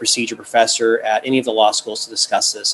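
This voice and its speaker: Noticeable background noise runs under a man speaking at a very fast pace. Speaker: task force chair, lawyer. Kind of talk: formal meeting presentation.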